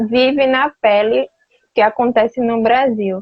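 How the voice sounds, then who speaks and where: A woman talks at a fairly slow pace. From Alagoas, Brazil. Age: young. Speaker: youth interviewer. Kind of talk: interview. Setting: live video stream. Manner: slow, deliberate.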